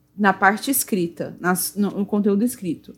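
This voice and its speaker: Somewhat breathy, a woman speaks at a medium pitch and a moderate pace with ordinary pitch variation. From Brazil, Goiânia (Centre-West). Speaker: Magic card game judge and English teacher. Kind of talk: casual chat.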